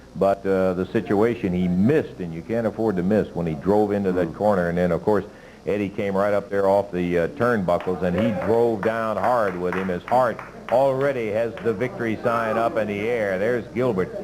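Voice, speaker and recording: Music plays in the background as a man speaks. His pitch varies in an ordinary way. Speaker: TV wrestling commentator. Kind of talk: live wrestling play-by-play commentary. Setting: TV studio.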